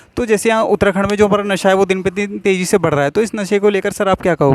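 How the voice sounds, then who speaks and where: With a dry, close sound and no echo, a man speaks at a high pitch with ordinary pitch variation. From Uttarakhand, India. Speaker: YouTube interviewer. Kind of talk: street interview.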